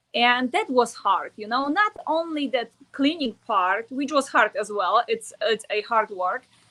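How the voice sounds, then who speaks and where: A woman speaks at a high pitch with lively intonation. Her Polish accent is strong. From Poland. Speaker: network marketer. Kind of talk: interview. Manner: halting.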